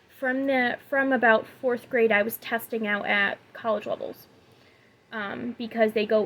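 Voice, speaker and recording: With an ordinary speaking voice, a woman talks at a moderate pace with fairly high pitch and fairly even intonation. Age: 20s. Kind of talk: personal talk to camera. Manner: many fillers and self-corrections.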